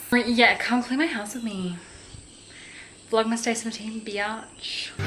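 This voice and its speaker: Delivered at a fairly slow pace with fairly even intonation, the voice carries audible room echo and noticeable background noise. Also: woman, fairly high pitch for a woman. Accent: Australian. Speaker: vlogger. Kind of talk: casual vlog. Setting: at home. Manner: whispering.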